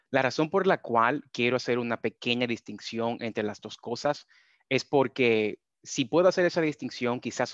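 A man speaks at a moderate pace. The sound is dry with no echo, over a quiet background. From Dominican Republic. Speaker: data scientist. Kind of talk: webinar presentation. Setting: video call. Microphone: video call.

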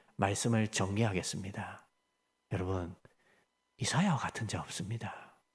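Somewhat breathy and fairly low-pitched, a man speaks at a moderate pace with fairly even intonation and long, frequent pauses. The recording is very clean, with a silent background. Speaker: pastor. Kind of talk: sermon.

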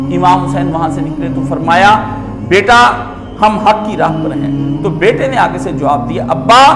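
With clear music in the background, a man talks at a fairly slow pace. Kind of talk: religious lecture. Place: home room. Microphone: lapel.

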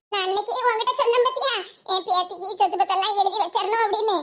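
Using a cartoonish character voice at an extremely high pitch, a woman speaks at a moderate pace with fairly even intonation. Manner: affectionate, emotional.

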